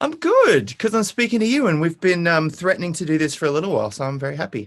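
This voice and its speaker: A man with an Australian accent talks very fast in a high voice, his pitch swinging very widely. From Brisbane, Australia. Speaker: singer-songwriter. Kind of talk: interview answer.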